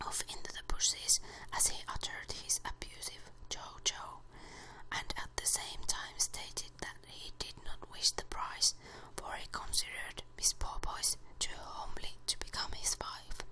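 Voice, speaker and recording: Fairly slow whispering with noticeable background noise. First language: Finnish. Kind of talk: ASMR book reading. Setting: close to the microphone. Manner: whispered.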